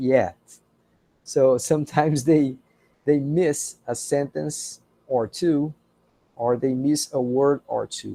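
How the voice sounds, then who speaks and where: A man with a non-native accent and a dark, mellow tone speaks at a very slow pace, the sound dry and close with no echo. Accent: non-native English speaker. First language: Portuguese. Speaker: university professor. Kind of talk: lecture. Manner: slow, careful pronunciation.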